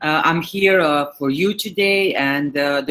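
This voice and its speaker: In a Serbian accent, a woman speaks with a very deep, low pitch. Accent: Serbian accent, noticeable. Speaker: digital marketing manager. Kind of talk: webinar presentation. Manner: halting, many fillers.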